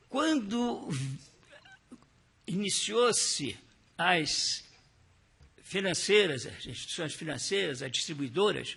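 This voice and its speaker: A high-pitched man speaks very slowly, with very wide pitch swings and long, frequent pauses, over noticeable background noise. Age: 80s+. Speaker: retired central bank employee. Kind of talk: testimony. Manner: halting.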